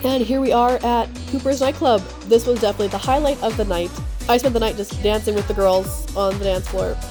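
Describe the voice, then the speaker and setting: A woman at a fairly quick pace, music in the background. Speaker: travel vlogger. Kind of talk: travel vlog voice-over. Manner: casual.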